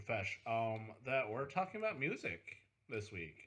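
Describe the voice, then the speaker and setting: At a moderate pace, a man with a medium pitch speaks with very wide pitch swings. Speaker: podcast co-host. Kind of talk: casual chat. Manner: stuttering, halting.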